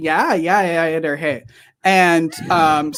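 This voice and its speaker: Very slow speech with fairly even intonation, in a northern Wisconsin accent. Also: woman, fairly low pitch for a woman. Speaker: podcast host.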